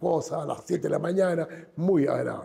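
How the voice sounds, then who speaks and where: The intonation is fairly even and the pace is moderate. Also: man. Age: 70s. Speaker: businessman. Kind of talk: interview. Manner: halting.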